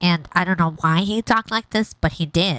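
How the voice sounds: Using a put-on character voice, a woman speaks at a moderate pace in a fairly low, nasal pitch.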